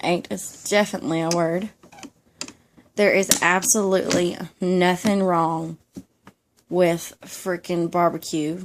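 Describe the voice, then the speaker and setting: Soft-spoken and fairly low in pitch, a woman with a Georgia accent talks with fairly even intonation. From Georgia (US South). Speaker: YouTuber. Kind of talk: ASMR casual monologue.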